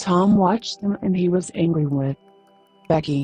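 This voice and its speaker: A soft-spoken woman talks at a fairly slow pace. Music plays in the background. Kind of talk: sleep story.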